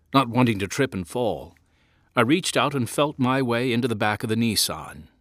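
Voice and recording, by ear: Intonation stays fairly even as the text is read aloud in a natural voice.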